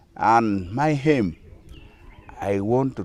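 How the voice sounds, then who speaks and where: A man with a Ugandan accent, fairly low in pitch, with lively intonation. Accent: Ugandan (Acholi) English. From Northern Uganda, Kitgum District. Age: 60s. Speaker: traditional musician and dance group leader. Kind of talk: interview. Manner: halting.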